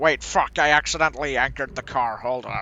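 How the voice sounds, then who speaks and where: A man in a put-on character voice, medium-pitched, at a fairly quick pace. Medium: machinima. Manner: bossy, hurried.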